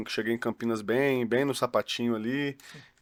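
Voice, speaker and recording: In a very clean recording with a silent background, a man speaks at a moderate pace and medium pitch. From Juiz de Fora, Minas Gerais, Brazil. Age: 30s. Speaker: football academy director and coach. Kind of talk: casual podcast chat.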